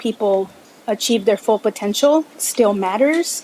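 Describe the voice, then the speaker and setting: In a Spanish accent, a woman with a fairly high pitch talks fairly slowly over noticeable background noise. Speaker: commission applicant. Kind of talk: interview at public meeting. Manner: halting.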